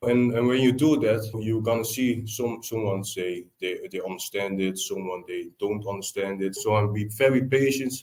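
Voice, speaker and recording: At a moderate pace and with hardly any pauses, a man talks with fairly even intonation. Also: medium pitch for a man. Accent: Dutch. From Netherlands. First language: Dutch. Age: 20s. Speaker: tiler, business owner. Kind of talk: podcast interview. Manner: halting.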